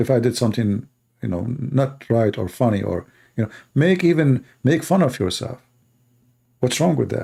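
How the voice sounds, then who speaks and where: A man's medium-pitched, somewhat breathy voice in a dark, mellow tone, with a non-native accent, lively intonation, a moderate pace and long, frequent pauses. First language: not English. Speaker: religious debater. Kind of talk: live debate show monologue. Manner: animated.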